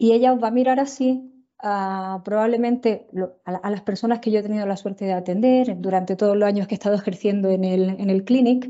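A woman speaks in an Andalusian accent at a fairly quick pace. Her medium pitch holds fairly even intonation against a quiet background. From Andalusia, Spain. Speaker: tropical medicine physician and researcher; presenter. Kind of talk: lecture. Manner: fast. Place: home room. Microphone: earbuds.

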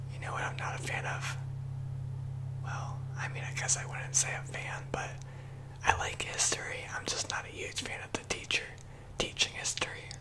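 A man is whispering. He leaves long, frequent pauses. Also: moderate pace. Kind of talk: casual monologue, role-play. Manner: soft, close ASMR murmur. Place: home room. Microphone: studio mic.

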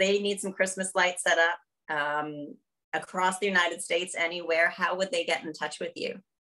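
With a Canadian accent, the speaker talks at a fairly quick pace over a quiet background. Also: woman. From Canada. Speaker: podcast host, consultant; podcast host. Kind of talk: interview. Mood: warm, cheerful. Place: home room. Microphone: webcam.

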